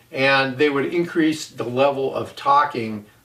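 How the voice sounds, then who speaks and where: Noticeable noise sits behind a man whose pitch varies in an ordinary way as he talks. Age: 60s. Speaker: audio equipment reviewer. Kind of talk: product review monologue. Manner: casual, with fillers.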